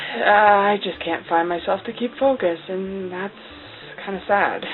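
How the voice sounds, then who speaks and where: Delivered at a moderate pace with ordinary pitch variation, the speech has big swings in loudness and noticeable background noise. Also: woman. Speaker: cosplay vlogger. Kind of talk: casual vlog monologue. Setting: talking to camera alone. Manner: halting, many fillers.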